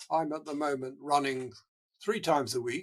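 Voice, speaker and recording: Here is a man with an English accent. His pitch is fairly high. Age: 80s+. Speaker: marathon runner and charity founder. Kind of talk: interview. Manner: halting.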